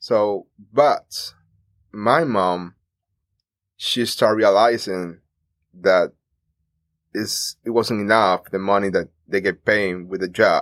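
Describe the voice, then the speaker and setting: A very slow pace in a Cuban accent, with long, frequent pauses, a dry, close sound with no echo and a very clean recording over a silent background. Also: man. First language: Spanish. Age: 30s. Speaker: immigrant telling his story. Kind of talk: interview. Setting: studio.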